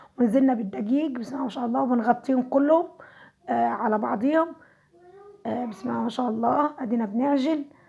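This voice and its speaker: A woman talks at a fairly quick pace in a high pitch. Her pitch variation is ordinary. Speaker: home cooking vlogger. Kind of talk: cooking tutorial.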